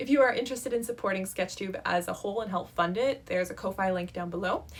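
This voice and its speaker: A woman speaks at a very fast pace in a medium pitch with ordinary pitch variation, over noticeable background noise. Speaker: app developer and video creator. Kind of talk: casual vlog talk to camera.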